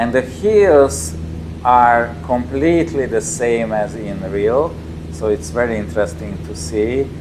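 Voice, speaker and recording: A man with a Hungarian accent, fairly low in pitch, at a fairly slow pace with very wide pitch swings, amid audible room echo and noticeable background noise. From Hungary, Tatabánya. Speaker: company representative demoing a motion simulator. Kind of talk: gameplay demo commentary. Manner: halting, many fillers and repetitions.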